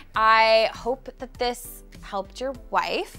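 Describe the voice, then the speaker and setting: Faint music sits in the background. Over it, a woman is talking. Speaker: interior design vlogger. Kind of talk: tutorial-style vlog talk to camera. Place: studio.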